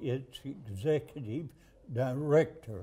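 A man with a Southern US accent, fairly high-pitched yet dark and mellow in tone, somewhat breathy, at a very slow pace. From Alabama. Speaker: political candidate. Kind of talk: interview. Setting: studio couch interview. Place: studio. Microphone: lapel.

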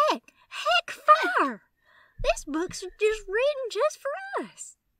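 A woman's squeaky, extremely high put-on character voice, very slow, with very wide pitch swings. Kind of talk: cheesy, stilted phrasing. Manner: awkward, goofy exclamation.

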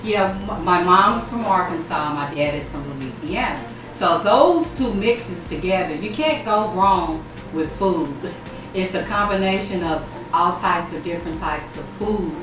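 A woman at a moderate pace, with audible room echo and clear music in the background. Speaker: cooking show host. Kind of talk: interview answer. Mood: warm, reflective about family. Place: kitchen.

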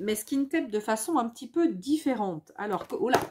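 With lively intonation, a woman speaks at a moderate pace in a fairly high pitch, her slightly mellow tone carrying a slightly husky edge.

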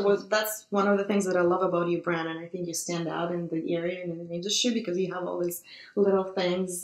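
Words pour out at a very fast pace in a quiet background with audible room echo. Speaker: photographer, channel host. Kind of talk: interviewer, casual talk. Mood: warm, admiring. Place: studio.

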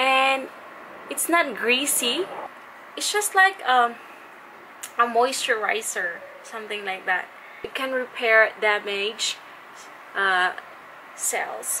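Over light background noise, a woman with a high pitch and a Filipino accent speaks very slowly, with long, frequent pauses. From Philippines. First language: Tagalog. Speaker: beauty vlogger. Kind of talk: product review. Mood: cheerful, friendly. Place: home room. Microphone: phone near.

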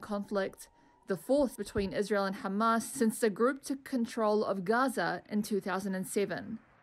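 A woman's unremarkable speaking voice, fairly high in pitch, at a moderate pace with fairly even intonation. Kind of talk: news report narration.

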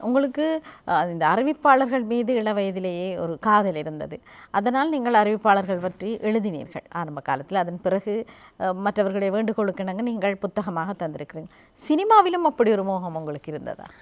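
A woman speaks at a medium pitch with lively intonation in an ordinary speaking voice, on a very clean recording with a silent background. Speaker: TV magazine show host. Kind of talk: interview.

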